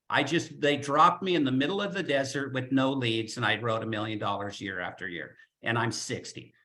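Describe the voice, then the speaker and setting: A man with vocal fry speaks at a moderate pace, his intonation lively and his tone animated. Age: 60s. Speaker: life insurance agent. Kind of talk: webinar talk.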